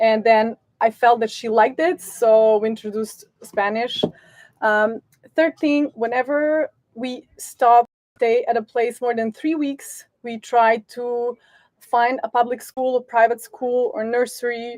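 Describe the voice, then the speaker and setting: In a Serbian accent, a woman talks fairly slowly at a high pitch with fairly even intonation. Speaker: sailing family vlogger. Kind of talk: live stream Q&A. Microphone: sound problems at start of stream.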